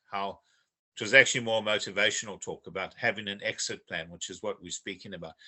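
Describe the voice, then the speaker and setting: A man speaks at a fairly low pitch in an unremarkable speaking voice. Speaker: podcast co-host joining online. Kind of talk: casual podcast conversation.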